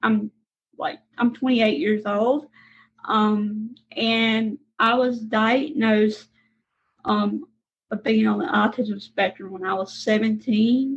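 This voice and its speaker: In a Southern accent, a woman speaks at a fairly high pitch with a somewhat breathy voice and ordinary pitch variation. Her pace is very slow, with long, frequent pauses. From Mississippi, US South. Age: 20s. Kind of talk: interview.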